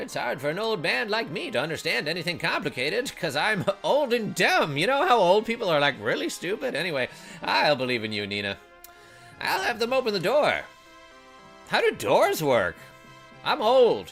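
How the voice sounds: A man puts on a high-pitched character voice at a moderate pace. Music plays clearly in the background.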